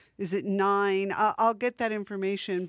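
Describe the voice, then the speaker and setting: With an unremarkable speaking voice, a woman talks at a medium pitch and moderate pace on a very clean recording with a silent background. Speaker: radio host. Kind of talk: radio DJ patter between music sets, plugging festival and station. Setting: community radio studio broadcast. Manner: relaxed, chatty, conversational with filler 'uh' and 'um', playful wordplay.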